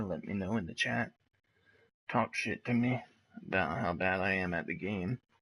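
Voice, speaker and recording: A quiet man with a fairly low pitch speaks at a moderate pace. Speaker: gaming streamer. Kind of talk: live gameplay commentary. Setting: at home, wife sleeping nearby. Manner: quiet, talking low; casual, with filler words.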